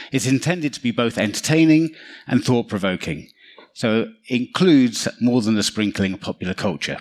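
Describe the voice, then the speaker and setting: In a London accent, a man speaks with lively intonation at a medium pitch and moderate pace, captured in a very clean recording with a silent background. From London, England. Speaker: cybersecurity consultant. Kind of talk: conference talk.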